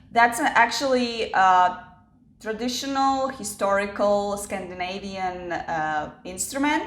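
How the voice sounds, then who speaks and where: A woman with a non-native accent and medium pitch speaks very slowly amid audible room echo. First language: not English. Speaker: YouTuber. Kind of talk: storytelling vlog. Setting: home kitchen. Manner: casual, with fillers.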